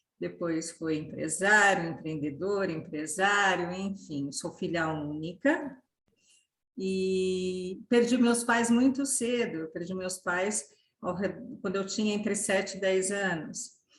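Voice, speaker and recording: A woman speaks at a very slow pace. Her voice is medium in pitch and somewhat breathy. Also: ordinary pitch variation. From Brazil, São Paulo city. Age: 60s. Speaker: inclusion consultant and mother. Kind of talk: podcast interview.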